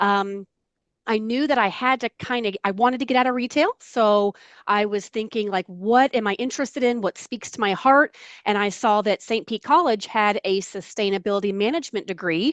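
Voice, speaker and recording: Recorded very cleanly against a silent background, with a dry, close sound and no echo, a woman with an American accent uses a normal speaking voice at a fairly high pitch, a moderate pace and ordinary pitch variation. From US South, Florida (Largo, Pinellas County). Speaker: environmental outreach assistant. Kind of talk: interview, personal story. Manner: conversational, with many fillers.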